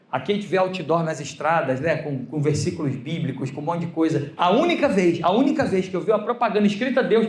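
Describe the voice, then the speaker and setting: This man talks at a high pitch with an animated tone. His intonation is lively. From Brazil. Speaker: pastor. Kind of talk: sermon.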